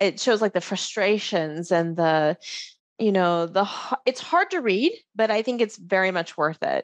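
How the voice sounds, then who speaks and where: Against a quiet background, a woman talks in an unremarkable speaking voice at a medium pitch, with ordinary pitch variation, very even loudness and a dry, close sound with no echo. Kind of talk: interview conversation.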